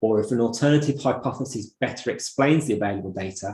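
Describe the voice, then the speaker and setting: Speaking with a Birmingham accent at a moderate pace, a man with a medium pitch has a somewhat breathy voice, a dark, mellow tone and ordinary pitch variation. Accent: Brummie. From Birmingham, England. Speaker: optometry lecturer. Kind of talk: lecture. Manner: hesitant fillers, repeats words.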